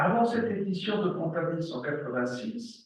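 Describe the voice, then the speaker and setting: Speaking fairly slowly with lively intonation, a man talks with a German accent. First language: German dialect (speaking French). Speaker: psychoanalyst and professor. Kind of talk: lecture.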